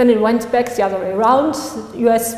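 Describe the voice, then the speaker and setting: With a non-native accent, a woman speaks in a flat monotone at a fairly high pitch, over audible room echo and noticeable background noise. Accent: non-native pronunciation. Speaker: law graduate and article author. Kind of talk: conference talk. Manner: halting.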